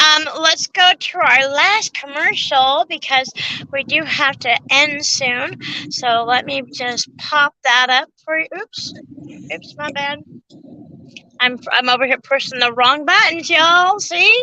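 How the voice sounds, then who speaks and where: A woman's raised, projected voice at high pitch, very slow and with ordinary pitch variation, in a dry, close sound with no echo. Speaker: truck driver and show co-host. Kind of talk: casual chat.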